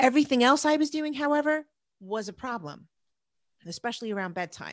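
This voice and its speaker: A woman speaks with a New Jersey accent. The sound is dry and close with no echo, over a quiet background. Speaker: productivity coach. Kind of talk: casual podcast chat.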